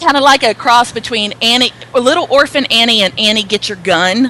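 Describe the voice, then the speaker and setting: Over noticeable background noise, a voice with a Southern US accent carries lively intonation. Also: woman. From US South. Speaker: author and speaker. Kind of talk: interview. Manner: loud.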